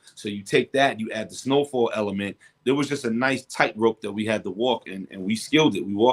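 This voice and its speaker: Speaking with a New York accent, a man barely pauses. His pitch is medium, with ordinary pitch variation. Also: fairly quick pace. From Brooklyn, New York. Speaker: rapper. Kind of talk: interview.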